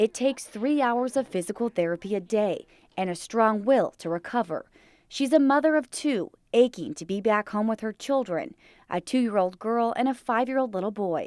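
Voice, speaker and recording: This woman has a normal speaking voice with a fairly high pitch, delivered at a moderate pace. The sound is dry and close with no echo, in a very clean recording with a silent background. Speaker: TV news reporter and anchor. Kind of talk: TV news reporter delivery, live stand-ups and packages.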